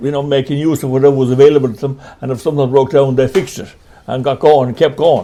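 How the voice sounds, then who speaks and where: A man's fairly high-pitched voice, very fast in pace and monotone, with flat intonation. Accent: western Irish. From Ireland, County Mayo. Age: 80s+. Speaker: retired men's shed member. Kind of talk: interview.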